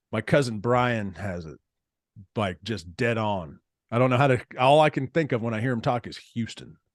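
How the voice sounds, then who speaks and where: A man with an American accent speaks at a moderate pace and medium pitch, with ordinary pitch variation and big swings in loudness, in a very clean, dry, close recording with a silent background and no echo. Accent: slight Texas accent, mostly hidden. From Texas. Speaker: podcast host. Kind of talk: casual interview chat. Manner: casual, laid-back.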